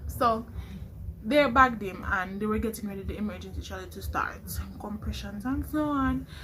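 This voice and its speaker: Big swings in loudness stand out against audible room echo. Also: woman, moderate pace. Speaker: nursing student vlogger. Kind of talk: vlog storytelling.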